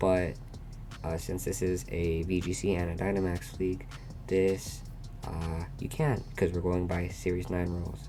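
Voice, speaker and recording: Over music in the background, a man talks at a very deep, low pitch with fairly even intonation and a moderate pace. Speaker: competitive Pokemon player. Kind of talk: casual gaming commentary.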